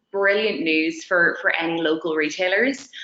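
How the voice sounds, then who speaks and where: A woman with an Irish accent talks at a fairly slow pace. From Dublin, Ireland. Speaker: tech company representative. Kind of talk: webinar presentation.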